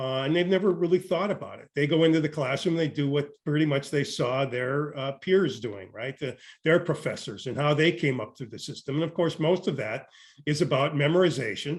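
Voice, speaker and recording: The voice is somewhat breathy and moves at a fairly quick pace, with big swings in loudness and ordinary pitch variation. The background is quiet. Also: man, fairly high pitch for a man. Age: 60s. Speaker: education professor. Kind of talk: interview. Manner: halting, many fillers and repetitions.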